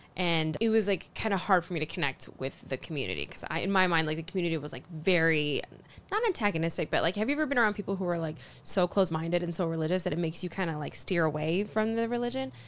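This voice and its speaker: A woman in an American accent, fairly low in pitch, at a very fast pace. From Colorado, US (Fort Collins). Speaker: stand-up comedian. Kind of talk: casual chat. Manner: animated.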